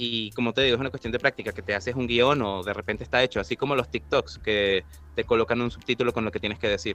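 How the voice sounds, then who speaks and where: Ordinary pitch variation marks this very fast delivery. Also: man, medium pitch for a man. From Venezuela. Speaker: voice actor. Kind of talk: interview.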